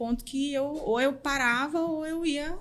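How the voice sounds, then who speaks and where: In a northeastern Brazilian accent, a woman is talking. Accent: northeastern Brazilian accent, noticeable. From Northeast Brazil, interior of Pernambuco. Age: 30s. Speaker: podcast guest, recruiter. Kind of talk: interview conversation.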